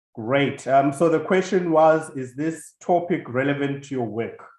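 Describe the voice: Against audible room echo, a man with a medium pitch speaks at a fairly slow pace. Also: ordinary pitch variation, slightly mellow tone.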